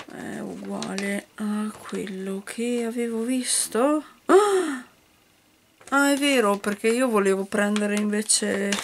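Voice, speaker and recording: Against light background noise, a woman talks at a very slow pace with ordinary pitch variation and big swings in loudness. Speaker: toy reviewer. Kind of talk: casual unboxing chat. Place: home room. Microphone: phone near.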